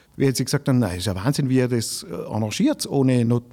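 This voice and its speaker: This man talks at a very fast pace in a dark, mellow tone. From Austria, Tyrol (village of Grins). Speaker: cabaret artist and comedian. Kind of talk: casual interview.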